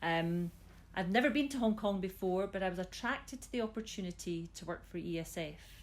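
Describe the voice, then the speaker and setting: With a Scottish accent, a woman talks at a fairly quick pace. Her pitch shows ordinary variation. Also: medium pitch for a woman, big swings in loudness. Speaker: school system chief executive. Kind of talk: interview.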